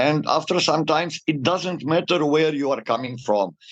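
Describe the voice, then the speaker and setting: On a dry, close recording with no echo, a man with an unremarkable speaking voice talks at a fairly high pitch with ordinary variation. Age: 60s. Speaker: data protection consultant. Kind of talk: interview.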